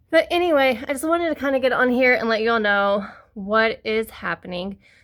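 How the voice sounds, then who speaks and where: Her voice has a bright, sharp tone and an American accent, with ordinary pitch variation. The woman is recorded very cleanly against a silent background. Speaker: crochet maker and vendor. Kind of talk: casual vlog chat.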